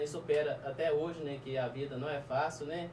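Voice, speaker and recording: Over audible room echo and noticeable background noise, a man talks at a fairly high pitch. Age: 30s. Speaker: guest telling life story. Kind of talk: testimony.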